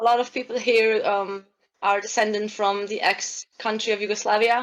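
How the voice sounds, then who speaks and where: A woman's fairly high, monotone voice with flat intonation and a Slovenian accent, at a moderate pace, in a very clean recording with a silent background. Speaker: airsoft player. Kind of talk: casual interview chat.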